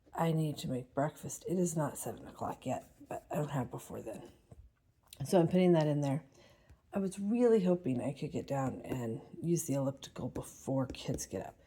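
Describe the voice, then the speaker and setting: Lively intonation runs through a dark, mellow tone at a moderate pace. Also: woman, very deep, low pitch for a woman. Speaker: homeschooling mother vlogger. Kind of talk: casual vlog narration. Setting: at home, early morning. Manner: quiet, trying to be quiet.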